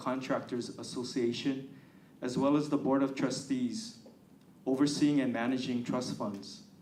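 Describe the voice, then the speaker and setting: With audible room echo, a man talks at a moderate pace and medium pitch. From Hawaii, Honolulu. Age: 60s. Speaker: political candidate. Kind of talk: campaign speech.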